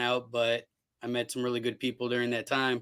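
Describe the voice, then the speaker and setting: Loud and bright with a sharp tone, a man speaks at medium pitch, fairly quickly, in a monotone, flat delivery. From Cleveland, Ohio, US. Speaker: television producer. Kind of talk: casual chat.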